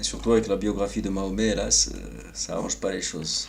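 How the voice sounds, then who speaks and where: Soft-spoken, the man has a very deep, low pitch. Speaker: vlogger. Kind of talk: personal monologue. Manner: hesitant.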